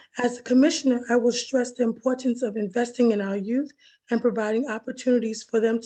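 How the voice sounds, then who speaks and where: At a moderate pace, the voice has a dark, mellow tone and monotone, flat intonation. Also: woman. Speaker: town council candidate; military veteran. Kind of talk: candidate statement.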